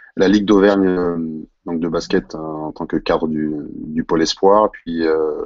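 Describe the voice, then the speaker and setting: Speaking at a fairly slow pace, a man with a very deep, low voice holds a monotone, flat intonation. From France, Clermont-Ferrand. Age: 40s. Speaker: basketball head coach. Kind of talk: live online panel discussion.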